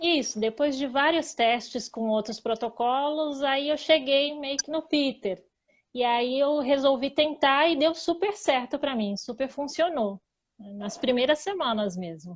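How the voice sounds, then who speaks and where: A woman speaks in a high voice at a fairly slow pace. Her intonation is lively, and the background is quiet. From Greater São Paulo, Brazil. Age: 30s. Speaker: diet interviewee. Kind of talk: casual chat.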